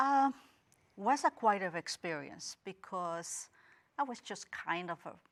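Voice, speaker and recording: With a slight Guatemalan accent, a woman speaks at a medium pitch and a fairly slow pace, using very wide pitch swings, big swings in loudness and long, frequent pauses, on a very clean recording with a silent background. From Guatemala, Guatemala City. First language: Spanish. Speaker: interview guest. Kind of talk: interview.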